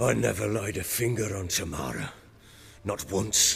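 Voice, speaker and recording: A man speaks in a put-on character voice, very deep and low and raspy, with very wide pitch swings, a moderate pace and clear music in the background. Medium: video game. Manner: gruff, proud, coarse.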